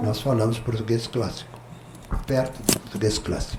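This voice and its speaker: A man is heard with audible room echo. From southern Brazil (Rio Grande do Sul). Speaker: pastor. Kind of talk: testimony. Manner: conversational, frequent filler tags.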